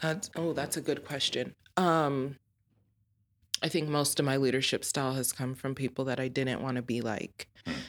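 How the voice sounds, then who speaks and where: Over a very clean recording with a silent background, a woman speaks in a very deep, low pitch with an American accent. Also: ordinary pitch variation, moderate pace. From Colorado. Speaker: business owner. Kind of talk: casual chat.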